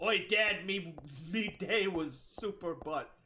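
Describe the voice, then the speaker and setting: Speaking very slowly, a man uses a put-on character voice pitched high. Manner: comedic, exaggerated.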